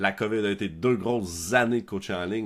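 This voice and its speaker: A man's fairly low voice in a Quebec accent on a very clean recording with a silent background. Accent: Québécois French. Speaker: podcast host, software founder. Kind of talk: podcast interview. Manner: many fillers.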